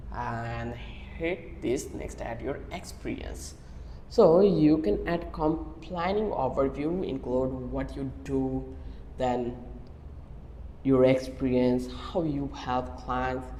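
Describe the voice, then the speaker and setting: Someone with a Bangladeshi accent speaks at a very slow pace over noticeable background noise. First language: Bengali. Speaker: online tutorial creator. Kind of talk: tutorial.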